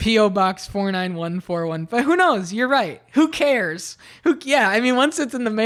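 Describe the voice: This is plain reading aloud with lively intonation.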